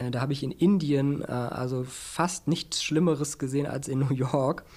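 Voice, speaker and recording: A man speaks at a medium pitch with fairly even intonation. His is an unremarkable speaking voice. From Berlin. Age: 40s. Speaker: business journalist and media founder. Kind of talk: interview.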